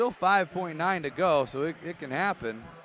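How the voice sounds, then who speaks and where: Ordinary pitch variation marks a man's fairly slow delivery. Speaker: basketball play-by-play commentator. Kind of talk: live commentary. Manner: excitable.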